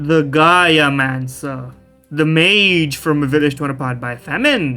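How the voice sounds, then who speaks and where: A man performs a put-on character voice at a fairly high pitch. Faint music plays in the background. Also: fairly slow pace. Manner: dramatic.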